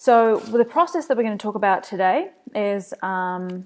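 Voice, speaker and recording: In a New Zealand accent, a woman speaks at a medium pitch. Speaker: agency owner, marketing presenter. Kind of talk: webinar presentation. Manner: casual, frequent fillers.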